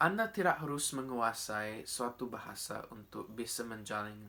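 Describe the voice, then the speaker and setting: With an English accent, a man talks at a fairly slow pace. His tone is bright and sharp. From Australia (Coffs Harbour, New South Wales). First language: English (speaking Indonesian). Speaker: speech contest winner. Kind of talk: prepared speech. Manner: formal.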